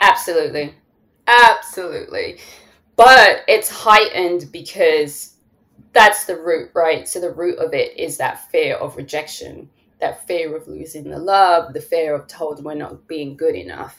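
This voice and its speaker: Here a woman talks with a strong London accent at a fairly slow pace. Her loudness swings widely. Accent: London English, still strong. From London, England. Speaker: therapist and podcast host. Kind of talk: casual interview chat.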